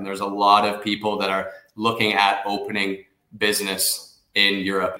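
A bright, sharp tone at a moderate pace, with a Canadian accent. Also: man. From Canada. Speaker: investment migration firm director. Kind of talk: radio interview.

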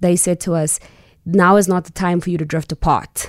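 At a moderate pace, the speaker uses monotone, flat intonation in a very clean recording with a silent background. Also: woman. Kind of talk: interview. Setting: studio.

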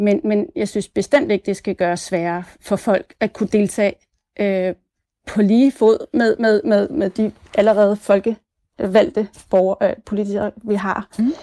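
Dry and close with no echo, a woman's voice has a dark, mellow tone, a fairly slow pace, and ordinary pitch variation. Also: medium pitch for a woman. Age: 40s. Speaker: nurse, listener panelist. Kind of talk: radio phone-in discussion.

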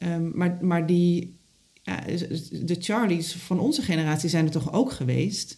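A woman's plain, everyday voice, fairly low in pitch, at a fairly slow pace with ordinary pitch variation. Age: 40s. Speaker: podcast host. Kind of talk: interview; reflective monologue.

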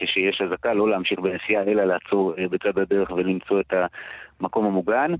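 Fairly low in pitch, a man uses a normal speaking voice at a moderate pace. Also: fairly even intonation, very even loudness. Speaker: radio news correspondent. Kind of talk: live news report. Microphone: choppy line.

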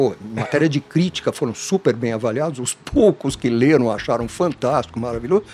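A man at a fairly quick pace with very wide pitch swings, amid noticeable background noise. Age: 60s. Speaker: franchising consultant. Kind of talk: interview. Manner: casual, repetitive stammering.

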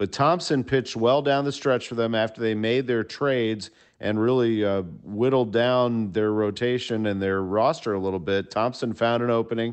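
Male voice, a normal speaking voice, with ordinary pitch variation. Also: medium pitch for a man, moderate pace, very even loudness. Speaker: sports broadcaster analyst. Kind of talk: sports commentary.

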